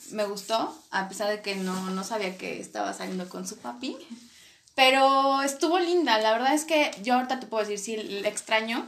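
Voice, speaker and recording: Audible room echo carries a woman's fairly high voice. She talks at a moderate pace with ordinary pitch variation. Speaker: podcast co-host. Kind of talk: casual chat.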